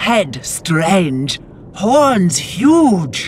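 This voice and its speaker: A put-on character voice at a middle pitch swings very widely up and down, with clear background noise behind it. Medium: machinima. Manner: broken, halting grammar.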